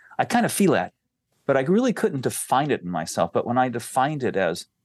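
Vocal fry runs through the voice, heard dry and close with no echo against a quiet background. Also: man. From rural area. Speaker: musician and management trainer. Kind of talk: casual chat.

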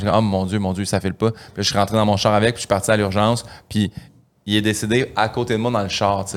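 A man talks at a fairly quick pace in a fairly low voice. His intonation stays fairly even. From Quebec, Saint-Hyacinthe. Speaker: comedian. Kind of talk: casual chat.

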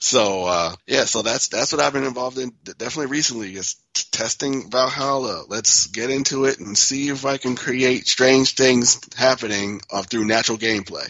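With an unremarkable speaking voice, a man talks at a moderate pace and medium pitch, with ordinary pitch variation and hardly any pauses. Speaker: pinball industry figure. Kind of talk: casual chat.

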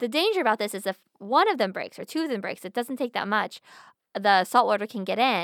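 A woman with an American accent and a plain, everyday voice, fairly high pitch, ordinary pitch variation, fairly quick pace, very clean recording, silent background, dry, close sound with no echo. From Pennsylvania. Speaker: podcast co-host. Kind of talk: casual chat.

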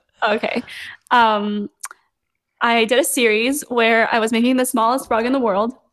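A woman with a West Coast US accent, fairly high-pitched and monotone, at a moderate pace with very even loudness and long, frequent pauses, over a quiet background. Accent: American (West Coast). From Los Angeles, US (born in Seoul, moved at five). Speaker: content creator, rug maker. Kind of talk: casual interview chat.

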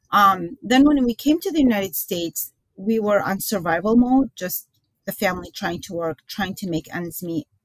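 A woman's somewhat breathy voice with lively intonation and big swings in loudness, recorded dry and close with no echo. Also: medium pitch for a woman, moderate pace. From Iraq (Baghdad), moved to the US as a child. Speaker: author and filmmaker. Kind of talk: interview.

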